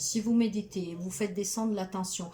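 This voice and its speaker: A woman at a medium pitch speaks at a moderate pace with fairly even intonation, against noticeable background noise. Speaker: tarot card reader and spiritual healer. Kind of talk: tarot reading guidance monologue.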